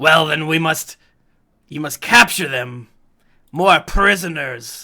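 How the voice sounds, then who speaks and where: Doing a put-on character voice, a man speaks raspy and fairly high at a fairly slow pace. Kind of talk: infernal. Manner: menacing, commanding.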